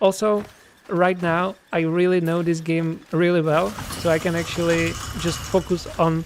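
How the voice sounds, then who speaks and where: The speaker has a Czech accent and a moderate pace. Noticeable background noise is present. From Czech Republic. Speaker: game developer and streamer. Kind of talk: casual livestream chat. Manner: hesitant, many fillers.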